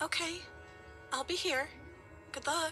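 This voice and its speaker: Over clear music in the background, a woman uses a put-on character voice that is soft-spoken and timid in tone, at an extremely high pitch. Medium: video game. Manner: soft, timid.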